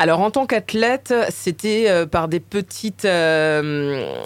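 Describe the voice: A woman with a Parisian accent speaks slowly in a fairly low voice. Her intonation is lively.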